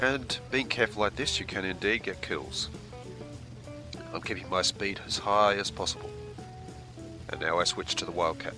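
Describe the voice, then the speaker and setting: A man's fairly low voice over background music, at a moderate pace with long, frequent pauses and very wide pitch swings. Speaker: video game reviewer. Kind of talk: gameplay tutorial commentary.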